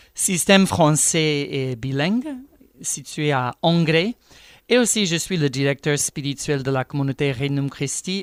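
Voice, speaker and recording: A man with an American accent, fairly high-pitched for a man, at a fairly slow pace with ordinary pitch variation, in a very clean recording with a silent background and a dry, close sound with no echo. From United States. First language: English (speaking French). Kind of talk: radio religious teaching.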